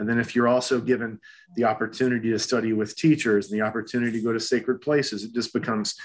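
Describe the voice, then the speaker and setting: In an unremarkable speaking voice, a man talks at a fairly quick pace with medium pitch and fairly even intonation against a quiet background. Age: 50s. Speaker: acupuncturist and holistic health practitioner. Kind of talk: interview conversation.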